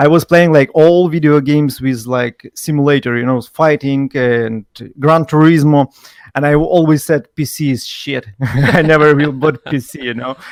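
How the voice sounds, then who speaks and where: Heard with a dry, close sound and no echo, a man with a fairly high pitch and fairly even intonation speaks at a moderate pace. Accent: non-native. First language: not English. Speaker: professional gamer. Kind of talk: casual chat. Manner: halting.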